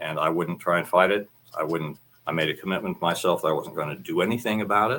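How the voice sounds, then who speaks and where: A man with an American accent speaks very fast in a very deep, low voice with a bright, sharp tone and ordinary pitch variation. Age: 60s. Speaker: military veteran. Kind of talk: personal testimony. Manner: halting.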